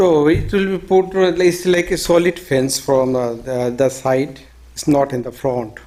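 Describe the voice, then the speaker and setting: At a fairly slow pace, a man with a non-native accent speaks in a fairly high pitch. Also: ordinary pitch variation. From abroad, not US-born. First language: not English. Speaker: homeowner applicant. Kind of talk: public hearing testimony. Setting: municipal meeting room. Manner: halting, many fillers.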